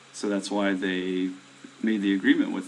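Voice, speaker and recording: Noticeable background noise is present throughout. Through it, a man can be heard talking. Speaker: indie game developer streaming to viewers. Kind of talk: casual live stream chat. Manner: hesitant, many fillers.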